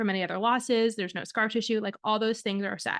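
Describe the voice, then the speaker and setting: A woman with a slight Michigan accent speaks at a fairly high pitch, the sound dry and close with no echo over a quiet background. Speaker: fertility doctor and podcast host. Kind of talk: podcast monologue. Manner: casual, conversational with fillers.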